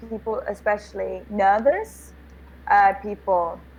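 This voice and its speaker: The voice belongs to a woman. Her accent is British. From England. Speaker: online English tutor. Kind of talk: casual video-call conversation. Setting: video call.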